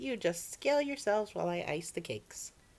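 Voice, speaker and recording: Someone speaks in a put-on character voice at a middle pitch and a fairly quick pace. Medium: read story. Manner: earnest, folksy.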